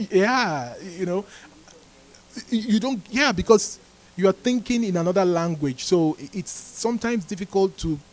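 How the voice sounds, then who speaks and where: A man speaks with a non-native accent in a high pitch. His pace is moderate and his intonation lively. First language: not English. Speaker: Bible fellowship teacher. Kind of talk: Bible teaching talk. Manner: halting, many restarts.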